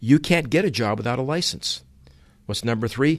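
A man with an unremarkable speaking voice and an American accent, medium pitch and moderate pace, against a quiet background. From Utah and Massachusetts, US. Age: 60s. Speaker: automotive trainer. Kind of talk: opinion monologue. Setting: away from home.

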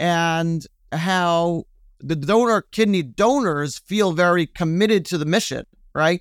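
This man has an American accent and a high voice, speaking at a fairly slow pace with ordinary pitch variation. The recording is very clean and dry, close with no echo, over a silent background. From US, Brooklyn, New York. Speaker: EOS implementer, nonprofit consultant. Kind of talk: interview conversation.

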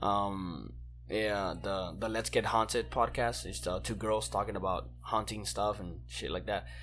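Very deep and low in pitch, a man speaks at a fairly slow pace with very wide pitch swings. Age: 20s. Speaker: podcast co-host. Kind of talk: casual chat. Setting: at home.

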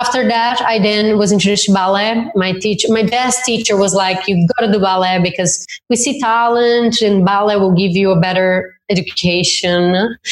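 A woman with a Brazilian accent speaks at a medium pitch and moderate pace, with hardly any pauses. Her intonation is fairly even and her loudness very even. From southern Brazil. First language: Portuguese. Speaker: dance instructor and event organizer. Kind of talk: interview. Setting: remote call.

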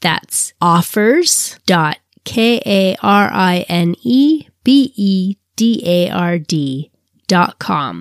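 A woman talks at a very slow pace with lively intonation and a medium pitch. The sound is dry and close, with no echo. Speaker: podcast host, relationship designer. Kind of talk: casual interview chat. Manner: animated, enthusiastic.

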